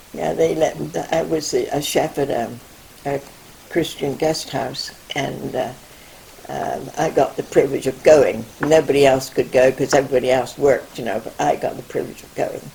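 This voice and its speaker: A woman speaks with big swings in loudness. Noticeable background noise is present. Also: moderate pace. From England. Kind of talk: interview answer. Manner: hesitant, rambling.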